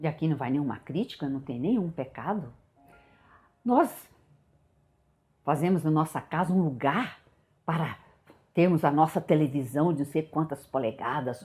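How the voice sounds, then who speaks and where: With music playing behind her, a woman talks at a moderate pace in a very deep, low voice, her intonation lively and her pauses long and frequent. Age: 60s. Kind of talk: devotional teaching talk. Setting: home prayer room.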